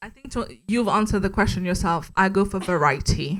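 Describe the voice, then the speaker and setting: A woman with a French accent at a fairly quick pace, ordinary pitch variation, on a very clean recording with a silent background. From Mauritius. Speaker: podcast host, guest speaker. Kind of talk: panel interview at live meetup. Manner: casual, confident.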